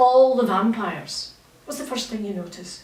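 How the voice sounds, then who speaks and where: A woman with a Scottish accent, animated in tone and very fast, with audible room echo and noticeable background noise. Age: 60s. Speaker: novelist. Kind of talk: literary festival conversation.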